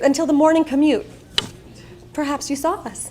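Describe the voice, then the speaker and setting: Noticeable background noise accompanies a woman with an American accent. She speaks at a moderate pace with a high pitch. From Long Island, New York. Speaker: keynote speaker. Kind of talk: keynote speech. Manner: animated.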